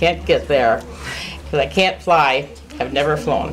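Noticeable background noise accompanies a woman as she talks. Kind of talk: casual personal update. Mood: cheerful, smiling. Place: hall. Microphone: camera far.

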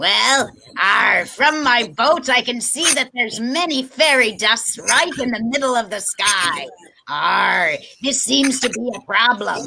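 A female-sounding voice in a put-on character voice growls at a high pitch and a fairly slow pace. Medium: stage. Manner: pirate growl, arr interjections.

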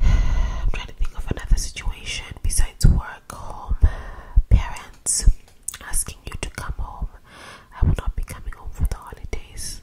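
A soft-spoken woman whispers at a moderate pace, with big swings in loudness. Noticeable background noise runs underneath. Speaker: video creator. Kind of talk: casual advice talk to camera. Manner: soft close-mic whisper. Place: home room. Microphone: studio mic.

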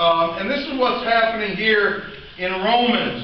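Audible room echo and light background noise accompany a man speaking fairly slowly. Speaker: preacher. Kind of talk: sermon. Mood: relaxed, joking. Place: church. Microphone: camera far.

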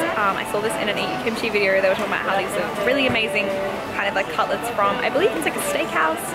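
Loud music plays in the background. Over it, a woman speaks at a very fast pace. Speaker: travel vlogger. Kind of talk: casual vlog chat. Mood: cheerful, amused. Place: street. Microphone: phone near.

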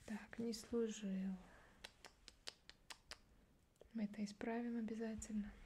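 A soft-spoken woman talks at a very slow pace in a somewhat breathy voice with a dark, mellow tone. Her intonation is monotone and flat, over light background noise. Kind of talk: ASMR role-play. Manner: soft, quiet officious ASMR voice. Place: home room. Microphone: studio mic.

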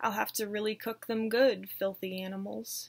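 With an American accent, a woman speaks at a moderate pace and medium pitch with fairly even intonation. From southern United States. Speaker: horror story narrator. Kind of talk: read horror story. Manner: dramatic. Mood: creepy storytelling tone. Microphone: webcam.

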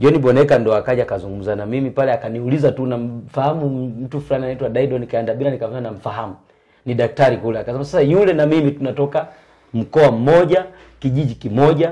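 Delivered at a very fast pace, the voice has a dark, mellow tone over a quiet background. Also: man. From Tanzania, Shinyanga region; Tanzania. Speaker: former choir singer; interview guest. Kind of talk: testimony. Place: home room. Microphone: lapel.

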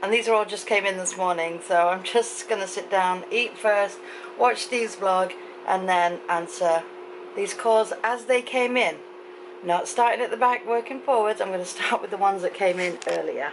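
This woman keeps a moderate pace as noticeable background noise sounds around her. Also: ordinary pitch variation. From England. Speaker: vlogger. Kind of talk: casual talk to camera. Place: home room. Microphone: phone near.

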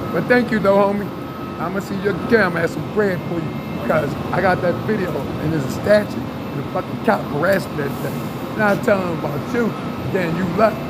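Loud background noise sits behind a man talking at a fairly quick pace with ordinary pitch variation. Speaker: street vlogger. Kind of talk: casual street conversation. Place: station. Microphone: phone near.

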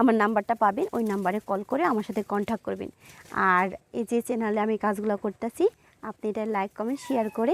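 A woman's fairly high voice, an ordinary speaking voice with fairly even intonation, in a dry, close sound with no echo. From Bangladesh, Manikganj. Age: 20s. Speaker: young woman seeking marriage. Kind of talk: interview.

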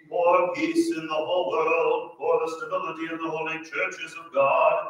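Loudness swings widely throughout. The pace is moderate, and the room echo is strong. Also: man. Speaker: priest. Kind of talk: intoned liturgical litany. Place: church. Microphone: camera far.

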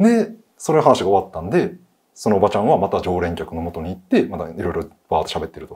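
A man talks at a very fast pace with big swings in loudness against a quiet background. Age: 30s. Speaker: storyteller host. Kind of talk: storytelling. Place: studio.

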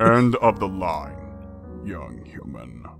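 A man does a cartoonish character voice with a very deep, low pitch and very wide pitch swings. Clear music plays in the background. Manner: stern, commanding, weary.

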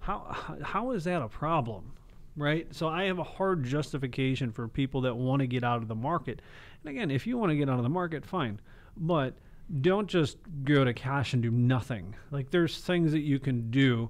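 An unremarkable speaking voice, a man's, moves at a moderate pace with lively intonation and fairly high pitch. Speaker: financial advisor; radio show financial host. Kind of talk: radio show. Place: studio. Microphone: close to the mic; studio mic.

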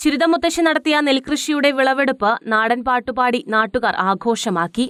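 In a dry, close recording with no echo, a woman speaks at a high pitch with ordinary pitch variation. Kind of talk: TV news report narration.

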